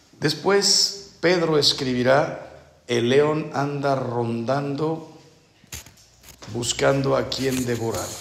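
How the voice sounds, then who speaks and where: A man's medium-pitched voice with lively intonation at a very slow pace, amid audible room echo and noticeable background noise. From Mexico. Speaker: priest. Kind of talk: spiritual retreat talk.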